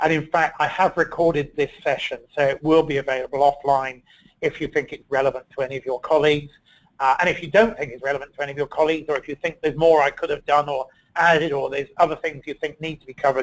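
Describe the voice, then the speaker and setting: Talking very fast, a man with a British accent uses a fairly high pitch and fairly even intonation. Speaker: ergonomics consultant presenting a webinar. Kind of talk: webinar presentation. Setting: online webinar.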